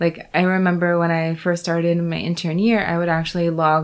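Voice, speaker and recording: A woman with an American accent speaks at a fairly quick pace. Her fairly low voice has monotone, flat intonation. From US, Florida. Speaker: obstetrician-gynecologist. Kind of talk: casual interview.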